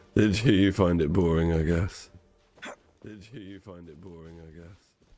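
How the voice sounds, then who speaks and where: Over music in the background, a man with a very deep, low pitch speaks at a moderate pace, his loudness swinging widely. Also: fairly even intonation. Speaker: game streamer. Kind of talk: live game stream chat.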